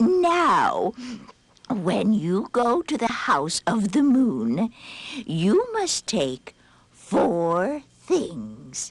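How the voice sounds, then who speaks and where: In a put-on character voice, a woman speaks at a fairly high pitch and a very slow pace. Her pitch swings very widely. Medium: read story. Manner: calm, gentle.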